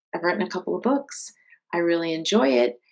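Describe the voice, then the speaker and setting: A woman with a West Coast US accent, very wide pitch swings and a moderate pace. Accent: General American (West Coast). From California, US (San Jose). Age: 50s. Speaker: author and martial arts instructor. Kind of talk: interview conversation.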